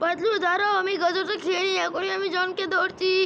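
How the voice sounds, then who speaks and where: Using a cartoonish character voice pitched extremely high, a woman speaks at a moderate pace in a monotone, flat intonation over clear background noise. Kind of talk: comic overacting. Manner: loud, blustering.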